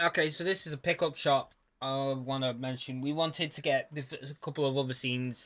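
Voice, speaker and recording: This man has a British accent. His pitch sits fairly high. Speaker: YouTuber. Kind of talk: casual commentary. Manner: halting.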